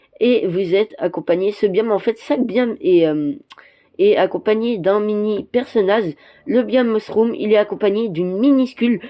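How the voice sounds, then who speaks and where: With very even loudness and lively intonation, a woman speaks in a fairly high pitch with a dark, mellow tone. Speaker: toy review youtuber. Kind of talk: product presentation over images. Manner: hesitant, many fillers.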